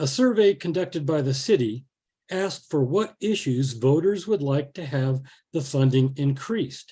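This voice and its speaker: At a moderate pace, a man with a fairly high pitch speaks in a dark, mellow tone that is somewhat breathy, with lively intonation. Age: 70s. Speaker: botanist speaking against a ballot measure. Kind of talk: public forum presentation.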